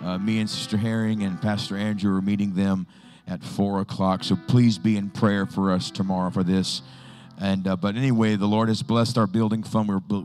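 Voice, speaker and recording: A man talks at a fairly quick pace in a fairly low pitch. Faint music plays in the background. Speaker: pastor. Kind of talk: church announcements. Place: church.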